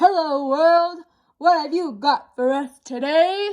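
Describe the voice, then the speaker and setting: A woman's loud put-on character voice, extremely high-pitched and fairly slow. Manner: cheerful, greeting the day.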